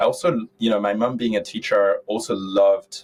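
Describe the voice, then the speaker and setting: A man with a French accent at a moderate pace. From France, south of Paris. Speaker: tech entrepreneur. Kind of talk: interview conversation. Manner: halting.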